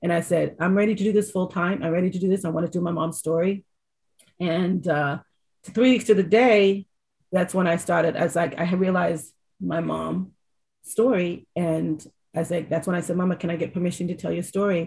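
A woman speaks fairly quickly with vocal fry. Her pitch sits fairly low. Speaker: documentary director and casting director. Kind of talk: interview. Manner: animated, talkative.

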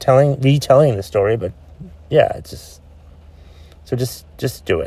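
A man speaks at a moderate pace with long, frequent pauses. His loudness swings widely. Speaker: podcast host. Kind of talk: solo rant podcast. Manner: loud, ranting.

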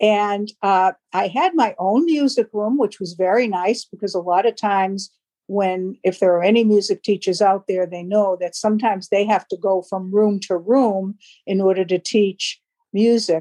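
A woman with an American accent speaks at a moderate pace in a medium pitch with ordinary pitch variation and a dark, mellow tone, in a dry, close sound with no echo. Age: 70s. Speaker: retired teacher and HR worker. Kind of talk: casual interview.

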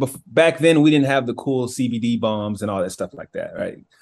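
With an American accent, a man speaks in a normal speaking voice at a medium pitch with ordinary pitch variation. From US South, Georgia. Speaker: author and former college athlete. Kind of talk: interview.

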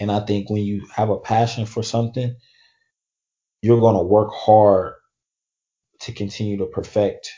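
A man with an American accent speaks at medium pitch at a fairly slow pace, somewhat breathy. His intonation is monotone and flat, with long, frequent pauses. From Oakland, California. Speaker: college basketball player seeking pro contract. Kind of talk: podcast interview.

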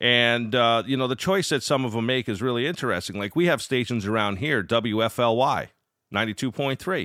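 A man with a normal speaking voice talks at a fairly slow pace, medium pitch and ordinary pitch variation. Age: 40s. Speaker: podcast host, amateur radio operator. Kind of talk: solo podcast monologue. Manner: casual, with frequent fillers and restarts.

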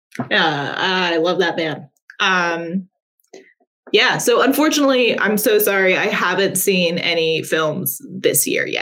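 Speaking at a fairly slow pace, a woman with an American accent has a plain, everyday voice, a medium pitch and lively intonation. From US South, Appalachia. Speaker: games journalist. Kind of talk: casual interview chat. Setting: video call stream.

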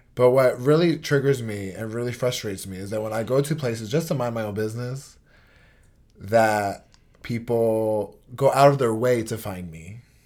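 A man with an American accent and an ordinary speaking voice talks at a moderate pace and medium pitch, with ordinary pitch variation and big swings in loudness, in a very clean recording with a silent background. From New York (Port Chester). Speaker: podcast co-host. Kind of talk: casual chat.

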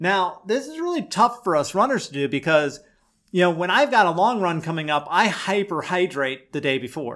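In a very clean recording with a silent background, a high-pitched man speaks at a moderate pace with lively intonation. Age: 50s. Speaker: podcast host and ultrarunner. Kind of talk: solo instructional podcast.

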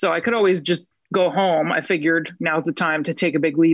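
A woman's fairly low voice with an American accent, vocal fry and a fairly quick pace. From New Jersey. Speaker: actress. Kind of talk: casual interview chat. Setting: video call.

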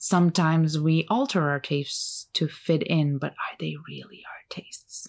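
A woman with a Turkish accent speaks at a moderate pace with hardly any pauses. Her loudness swings widely. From Turkey. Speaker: podcast host, artist. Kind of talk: solo podcast monologue. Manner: casual, laughs often.

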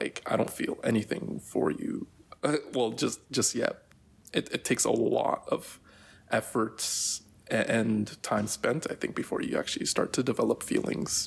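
A man speaks at a moderate pace with very even loudness. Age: 20s. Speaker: interview guest. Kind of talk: interview.

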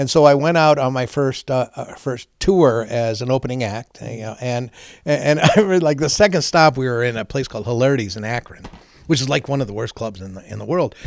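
A man's normal speaking voice at medium pitch, fairly quick in pace, with ordinary pitch variation and big swings in loudness. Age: 60s. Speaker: veterans charity founder and former stand-up comedian. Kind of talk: casual interview chat. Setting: his office.

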